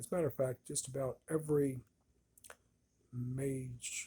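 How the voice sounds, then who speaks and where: A man speaks at a very slow pace in a relaxed, somewhat breathy, dark, mellow tone. His medium-pitched voice keeps fairly even intonation. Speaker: cigar reviewer. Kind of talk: casual product review. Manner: halting, slurred speech after a stroke; relaxed, slow.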